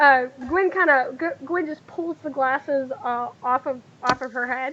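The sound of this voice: The tone is bright and sharp, the intonation fairly even, and the pace fairly slow. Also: woman, high pitch for a woman.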